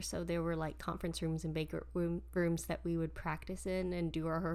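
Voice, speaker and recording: A soft-spoken woman at a fairly quick pace. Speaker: podcast host and stage performer. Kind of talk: casual chat.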